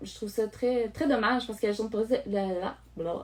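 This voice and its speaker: A woman's fairly high voice with a Quebec accent and fairly even intonation. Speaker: online course creator, project management coach. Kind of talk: live stream talk to viewers. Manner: fast; halting, many fillers.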